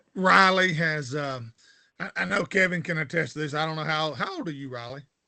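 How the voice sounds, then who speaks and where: With a Southern US accent, a man speaks at a moderate pace in a fairly high pitch, his bright, sharp tone carrying lively intonation and big swings in loudness. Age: 60s. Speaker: fishing show host. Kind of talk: interview.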